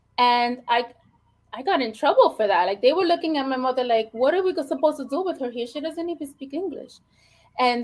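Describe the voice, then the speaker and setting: This woman has a high pitch and an American accent. Her intonation is lively. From New York City, the Bronx. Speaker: educator. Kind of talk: podcast interview.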